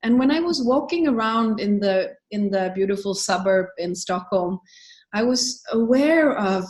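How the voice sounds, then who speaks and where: A woman's fairly high, somewhat breathy voice with a Swedish accent. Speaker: book author and business founder. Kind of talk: interview conversation.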